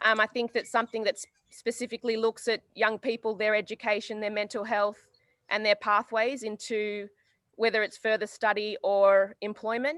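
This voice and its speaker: Dry and close with no echo, a woman's fairly high voice holds a flat monotone. She keeps a moderate pace. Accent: Australian. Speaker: community worker. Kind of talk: community address.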